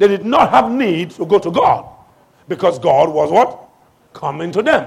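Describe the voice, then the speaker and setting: Speaking at a fairly slow pace, a man uses a high pitch, lively intonation and an animated tone. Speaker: pastor. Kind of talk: sermon. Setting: church. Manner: animated, call-and-response preaching, urging the congregation to shout back; commanding, authoritative.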